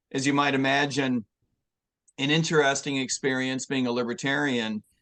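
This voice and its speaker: A man with an ordinary speaking voice and a medium pitch talks at a moderate pace with fairly even intonation, and the sound is dry and close with no echo. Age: 60s. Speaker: presidential candidate. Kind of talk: interview.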